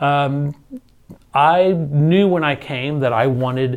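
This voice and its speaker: A man talks with a Texan accent. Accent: Texan American English. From Houston, Texas (Spring Branch). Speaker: school district administrator, former choir director. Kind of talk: interview. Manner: casual, with frequent fillers.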